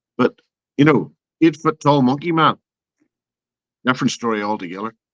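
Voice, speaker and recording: With an Irish accent, a man speaks at a moderate pace in a fairly high pitch with lively intonation, in a dry, close sound with no echo. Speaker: open mic guest. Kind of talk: casual chat.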